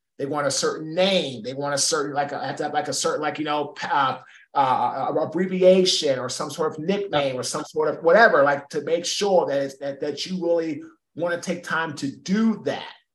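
Speaking at a moderate pace, a man with a fairly high pitch uses ordinary pitch variation in an ordinary speaking voice. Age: 40s. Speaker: keynote speaker and former football player. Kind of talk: interview.

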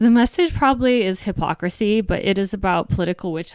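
A woman with a plain, everyday voice and an American accent speaks at a moderate pace with ordinary pitch variation, in a very clean recording with a silent background. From US Virgin Islands. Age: 30s. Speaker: author and journalist. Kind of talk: casual interview chat.

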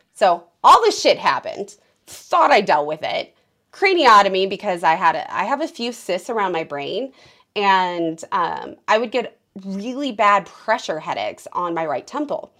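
A woman speaks at a moderate pace on a very clean recording with a silent background. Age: 30s. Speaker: podcast host, trauma survivor. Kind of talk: interview, personal testimony.

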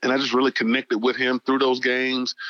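A man speaks at a medium pitch with a bright, sharp tone. The sound is dry and close, with no echo. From Atlanta, Georgia. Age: 40s. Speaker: nonprofit founder, baseball youth mentor. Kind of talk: interview.

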